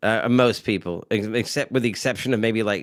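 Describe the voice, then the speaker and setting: Using a normal speaking voice, a man talks at a moderate pace, fairly low in pitch with fairly even intonation. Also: very clean recording, silent background. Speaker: live stream co-host. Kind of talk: casual chat.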